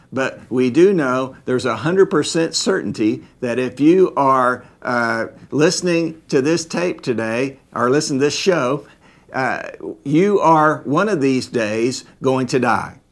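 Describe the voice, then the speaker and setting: A man with a normal speaking voice talks fairly slowly at a fairly high pitch, with ordinary pitch variation. The recording is very clean, with a silent background. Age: 50s. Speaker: Bible teacher. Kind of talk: Bible study lecture.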